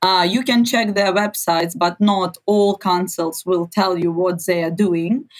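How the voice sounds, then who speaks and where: Fairly slow, nearly pause-free delivery with a Ukrainian accent and ordinary pitch variation. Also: woman, medium pitch for a woman. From Ukraine. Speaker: journalist and activist. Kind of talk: interview.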